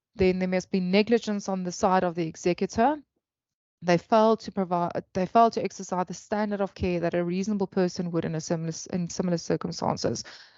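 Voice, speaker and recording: A woman talks at a very fast pace in a medium pitch. Her intonation stays fairly even. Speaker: attorney. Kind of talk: webinar lecture. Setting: video call. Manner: halting, with self-corrections.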